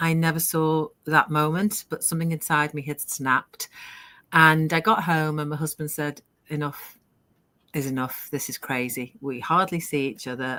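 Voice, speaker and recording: A woman talks in a very deep, low register at a moderate pace. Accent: British. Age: 60s. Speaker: online business owner. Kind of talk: live interview, personal story.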